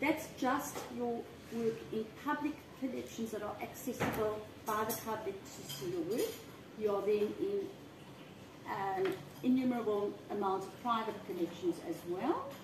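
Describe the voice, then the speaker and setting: A woman speaks at a fairly slow pace in a fairly high pitch, with noticeable background noise behind her. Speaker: interviewer and vlogger. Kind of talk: casual interview chat. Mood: warm, friendly. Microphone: camera far.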